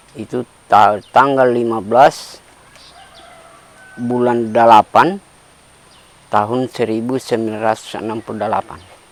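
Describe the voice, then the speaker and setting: Through noticeable background noise, a man speaks at a fairly slow pace with a medium pitch and long, frequent pauses. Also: fairly even intonation. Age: 70s. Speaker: farmer, tsunami survivor. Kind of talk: interview testimony.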